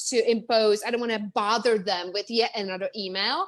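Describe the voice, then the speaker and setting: A woman speaks in an animated tone at a fairly quick pace. Her pitch is fairly high, with ordinary variation. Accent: Czech. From Czech Republic. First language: Czech. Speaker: business coach. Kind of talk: interview. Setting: live video stream. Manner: fast, animated.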